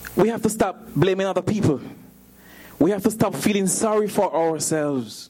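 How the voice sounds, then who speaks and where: His high-pitched voice has a dark, mellow tone as this man speaks at a moderate pace. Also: ordinary pitch variation. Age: 40s. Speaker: preacher. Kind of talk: sermon.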